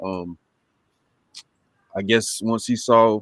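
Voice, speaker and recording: The intonation is monotone and flat. The speaker has an eastern North Carolina accent. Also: man. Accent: US Southern (eastern North Carolina). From Lumberton, North Carolina. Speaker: comic book creator. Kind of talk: casual chat.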